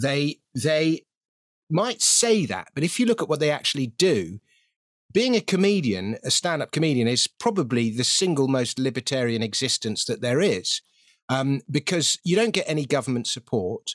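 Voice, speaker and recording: Recorded very cleanly against a silent background, with a dry, close sound and no echo, a fairly high-pitched man with a British accent talks at a moderate pace, his pitch swinging very widely. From Britain. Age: 50s. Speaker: financial writer and comedian. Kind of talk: casual interview chat.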